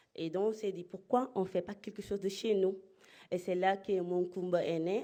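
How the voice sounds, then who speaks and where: A woman's medium-pitched voice with a dark, mellow tone, fairly even intonation, big swings in loudness, a fairly slow pace and hardly any pauses, over a quiet background. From Spain (Murcia), Senegalese family. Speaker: entrepreneur. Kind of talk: conference talk. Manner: halting.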